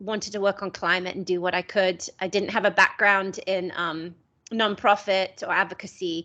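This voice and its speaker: The tone is bright and sharp, the intonation fairly even, and the background quiet. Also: woman. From England. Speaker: climate tech organisation co-founder. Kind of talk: webinar presentation. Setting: video call, camera off.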